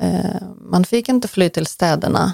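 A woman speaking at a very slow pace, with a dry, close sound and no echo. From western Ukraine, Lutsk. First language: Ukrainian (speaking Swedish). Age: 40s. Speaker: interviewee, Ukrainian emigrant. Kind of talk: interview. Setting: in person, host's home office.

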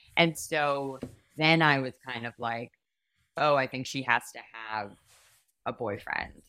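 With a very deep, low pitch and a bright, sharp tone, a woman talks at a fairly slow pace, her loudness swinging widely and her pitch varying in an ordinary way, with long, frequent pauses on a very clean recording over a silent background. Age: 20s. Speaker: comedian. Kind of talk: casual chat.

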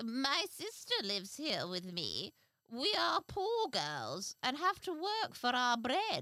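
A female-sounding put-on character voice speaks at a fairly slow pace with high pitch for a woman.

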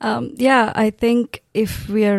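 In a very clean recording with a silent background, a woman speaks with a Tamil accent and ordinary pitch variation. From South India, Tamil-speaking. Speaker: pastor. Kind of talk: testimony.

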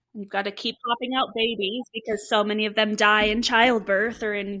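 An American-accented woman with a bright, sharp tone and fairly high pitch talks at a moderate pace, her intonation fairly even. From California. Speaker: sex therapist and podcast co-host. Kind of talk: casual chat.

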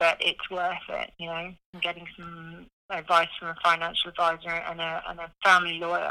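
This woman speaks in a British accent with a bright, sharp tone and fairly low pitch, her flat, monotone delivery moving at a moderate pace with hardly any pauses and big swings in loudness.

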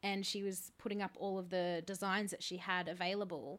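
A woman with an Australian accent speaks at a moderate pace and a medium pitch in a bright, sharp tone. The recording is very clean with a silent background. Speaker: podcast host. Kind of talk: casual chat.

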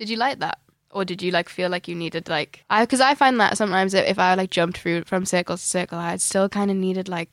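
Speaking with a Geordie accent, a woman talks at a very fast pace and a medium pitch, with ordinary pitch variation. The recording is very clean, with a silent background. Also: dry, close sound with no echo. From Newcastle, northern England. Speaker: podcast host, singer-songwriter. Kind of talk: casual chat. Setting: recording studio.

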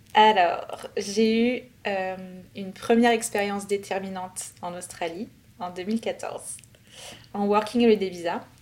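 Speaking at a very slow pace, a woman uses a medium pitch and fairly even intonation, with big swings in loudness and noticeable background noise. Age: 30s. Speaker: expat sharing visa experience. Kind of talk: interview testimony.

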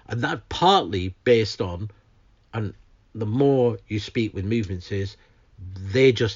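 A somewhat breathy man's voice in a Lancashire accent, at a fairly slow pace with ordinary pitch variation. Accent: northern English (Lancashire). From northern England, Lancashire. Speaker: climate justice campaigner. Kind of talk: interview. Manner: halting with repetitions.

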